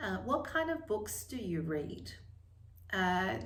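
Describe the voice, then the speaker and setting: A woman speaks with audible room echo. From China, moved to Australia at ten. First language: Chinese. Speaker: book vlogger and lawyer. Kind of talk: casual vlog talk. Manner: hesitant, many fillers.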